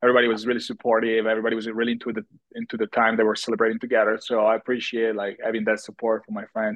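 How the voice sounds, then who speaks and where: Talking at a very fast pace with an Italian accent, a man holds a medium pitch in a monotone, flat intonation. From Italy. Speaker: TV personality and model. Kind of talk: casual interview chat.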